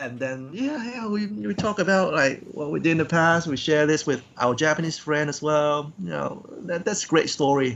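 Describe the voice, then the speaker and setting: Speaking at a moderate pace with hardly any pauses, a man uses a fairly high pitch and lively intonation. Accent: Cantonese. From Hong Kong. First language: Cantonese. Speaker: professional wrestler. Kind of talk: interview. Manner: halting.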